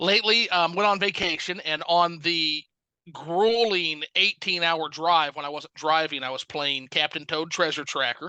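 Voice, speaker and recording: A man with a slight Southern US accent speaks at a moderate pace in a high pitch, with a bright, sharp tone and ordinary pitch variation. The sound is dry and close with no echo, over a quiet background. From US South. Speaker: gaming YouTuber and reviewer. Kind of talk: casual chat.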